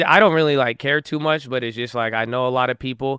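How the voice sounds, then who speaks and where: A man with an American accent and a plain, everyday voice, medium in pitch with ordinary variation, at a moderate pace. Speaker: livestreamer. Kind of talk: casual chat.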